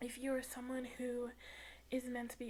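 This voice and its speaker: The voice is soft-spoken, moving at a moderate pace. Noticeable background noise is present. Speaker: tarot reader. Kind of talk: spiritual monologue to camera.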